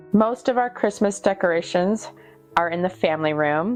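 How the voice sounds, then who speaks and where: A woman with an American accent at a fairly slow pace, with music in the background. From Oregon. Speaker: mother of a large family. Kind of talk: casual voiceover narration of home video.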